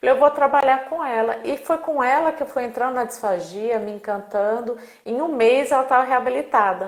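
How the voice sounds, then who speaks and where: At a moderate pace and with hardly any pauses, a woman speaks in a high pitch with ordinary pitch variation. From Brazil. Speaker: speech therapist. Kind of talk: casual interview. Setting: live video stream.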